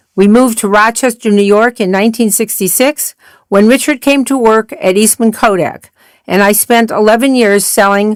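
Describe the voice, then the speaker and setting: A woman's fairly high voice with a Midwestern accent, at a moderate pace and very even loudness, on a very clean recording with a silent background. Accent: American Midwest. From US Midwest, Akron, Ohio. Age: 80s+. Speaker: retired real estate broker and singer. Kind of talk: scripted narration.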